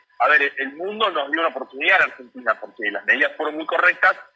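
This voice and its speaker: At a very fast pace, a man talks while music sounds in the background. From Buenos Aires suburbs (Lomas de Zamora). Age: 30s. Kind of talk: radio interview.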